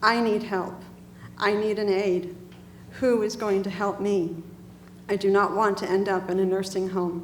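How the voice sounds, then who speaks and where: A woman's medium-pitched voice at a fairly slow pace, with long, frequent pauses, monotone, flat intonation, and audible room echo. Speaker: senior home care advocate. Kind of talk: testimony.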